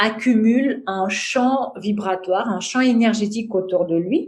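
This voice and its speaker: A woman speaks at a very slow pace in a fairly high voice with a Russian accent. Room echo is audible. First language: Russian (speaking French). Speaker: mantra chant teacher. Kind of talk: podcast interview. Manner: hesitant, many fillers.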